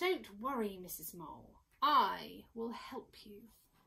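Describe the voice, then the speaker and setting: A woman puts on a character voice of medium pitch. She speaks at a fairly slow pace. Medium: read story.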